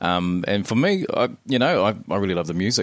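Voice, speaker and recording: Over a quiet background, a man with a New Zealand accent speaks with a very deep, low pitch and ordinary pitch variation. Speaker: podcast host. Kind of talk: casual chat. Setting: home recording studio.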